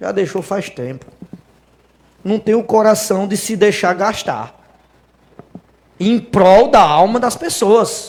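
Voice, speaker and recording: High-pitched man at a very slow pace, ordinary pitch variation, long, frequent pauses. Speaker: preacher. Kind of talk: sermon. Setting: church.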